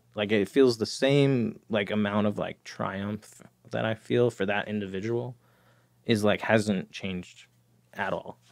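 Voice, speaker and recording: A man's unremarkable speaking voice, fairly low in pitch, with an American accent, a fairly slow pace and fairly even intonation. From New Jersey, near New York City. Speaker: addiction treatment professional in long-term recovery. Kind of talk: casual interview, personal recovery story.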